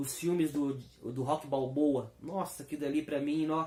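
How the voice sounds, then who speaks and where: Speaking at a fairly high pitch, the man has a dark, mellow tone. That tone stays dark and mellow throughout. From Belo Horizonte, Minas Gerais, Brazil. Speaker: comic book speaker. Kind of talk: talk. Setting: live stream. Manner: spontaneous, unscripted.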